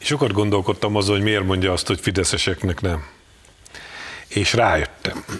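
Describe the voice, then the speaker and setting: A man with a fairly low pitch talks at a fairly quick pace, using ordinary pitch variation. His speech has long, frequent pauses, and there is noticeable background noise. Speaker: journalist. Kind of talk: panel discussion. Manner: animated.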